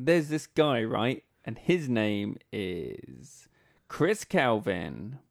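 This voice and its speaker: Talking at a very slow pace, a man with vocal fry uses a medium pitch and very wide pitch swings. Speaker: podcast host. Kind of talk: casual chat.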